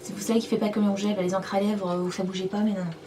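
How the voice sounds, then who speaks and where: A woman is heard over noticeable background noise. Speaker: beauty vlogger. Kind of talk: makeup product review and swatch demo. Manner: casual, hesitant with many fillers.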